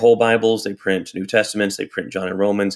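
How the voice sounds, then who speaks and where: A man with an American accent talks at a very fast pace. His fairly low pitch stays in a monotone, flat intonation. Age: 40s. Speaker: pastor. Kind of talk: interview conversation.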